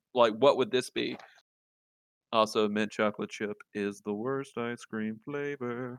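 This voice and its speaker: Speech comes at a fairly slow pace with fairly even intonation. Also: man, medium pitch for a man. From Louisiana, rural south. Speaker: video game podcast guest. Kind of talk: casual chat.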